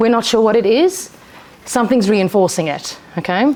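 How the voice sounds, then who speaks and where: Fairly high in pitch, a woman's voice carries lively intonation over noticeable background noise. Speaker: behaviour analyst. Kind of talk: seminar presentation. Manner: fast; loud.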